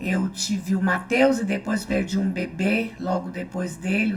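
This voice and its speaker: Over noticeable background noise and audible room echo, a woman speaks at a medium pitch with ordinary pitch variation. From Brazil, Goiás (Anápolis area). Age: 70s. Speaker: church member and small-group leader. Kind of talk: testimony.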